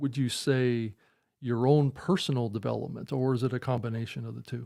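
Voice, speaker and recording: The speaker is a man with a medium pitch. His tone is dark and mellow, and his pace is moderate. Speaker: podcast host. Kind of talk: interview. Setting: live video call. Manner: halting.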